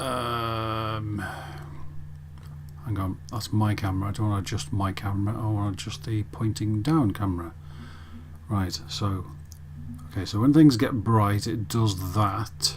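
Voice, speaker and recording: A man with a fairly low pitch speaks at a fairly slow pace with lively intonation and long, frequent pauses. Audible room echo surrounds his voice. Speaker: miniature painting tutor. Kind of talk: tutorial.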